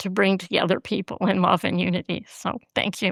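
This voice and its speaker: A woman's medium-pitched voice with vocal fry, in a dry, close sound with no echo and a very clean recording with a silent background. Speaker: writer and former journalist. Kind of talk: casual chat.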